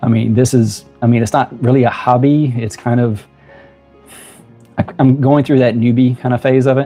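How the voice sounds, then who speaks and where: The speaker talks at a moderate pace in a Southern US accent, with flat, monotone intonation. Music plays in the background. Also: man. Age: 50s. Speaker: YouTuber. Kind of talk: casual talk to camera.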